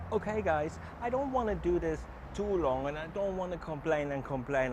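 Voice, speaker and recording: With a German accent, a man talks at a moderate pace with lively intonation. Noticeable background noise runs beneath his voice. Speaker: travel vlogger. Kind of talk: casual vlog.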